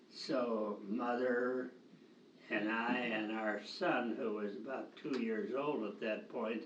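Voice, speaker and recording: Over noticeable background noise, a man at medium pitch speaks at a very slow pace with fairly even intonation. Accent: American. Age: 80s+. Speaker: retired teacher and camp director. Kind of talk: interview answer, reminiscing. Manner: hesitant, slow.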